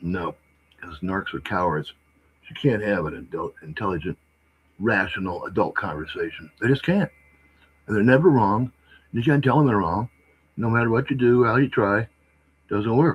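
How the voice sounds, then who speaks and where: Somewhat breathy, a man with an American accent speaks at medium pitch with lively intonation. His loudness swings widely, and he leaves long, frequent pauses. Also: moderate pace. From California. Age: 60s. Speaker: live streamer. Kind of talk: livestream monologue. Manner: animated.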